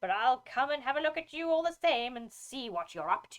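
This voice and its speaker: In a put-on character voice, a woman growls in a gruff, high-pitched way at a fairly quick pace. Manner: growling, threatening.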